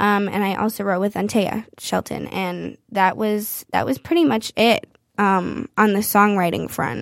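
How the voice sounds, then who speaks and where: In a very clean recording with a silent background, a woman with a Midwestern accent speaks at a fairly slow pace. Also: medium pitch for a woman. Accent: general American, Midwestern. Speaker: singer-songwriter. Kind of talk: casual interview chat. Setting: studio.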